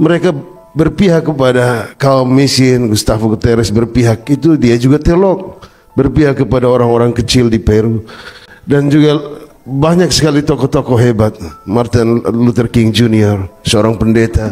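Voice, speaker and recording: Over noticeable background noise, a man of medium pitch talks at a moderate pace with ordinary pitch variation and very even loudness. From Kupang, East Nusa Tenggara (Timor), eastern Indonesia. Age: 40s. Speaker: church leader speaking at a memorial event. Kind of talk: public speech.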